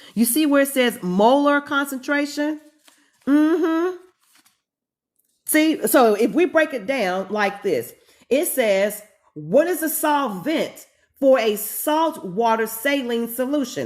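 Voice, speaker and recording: Very slowly and with long, frequent pauses, a woman with a North Carolina accent speaks at a high pitch with lively intonation. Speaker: chemistry professor. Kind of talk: live-streamed lecture. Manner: casual, conversational.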